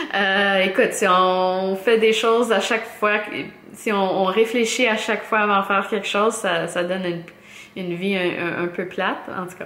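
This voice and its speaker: Her loudness swings widely as a woman talks at a fairly slow pace, medium in pitch, with fairly even intonation. Room echo is audible, and background noise is noticeable. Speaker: knitting podcaster. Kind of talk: casual podcast monologue. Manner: halting, many fillers and repetitions.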